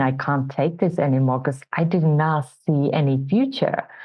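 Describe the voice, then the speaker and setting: A woman speaks in a Finnish accent at a very deep, low pitch. Her pace is fairly slow, with ordinary pitch variation. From Finland. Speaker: entrepreneurship coach. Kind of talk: interview testimony.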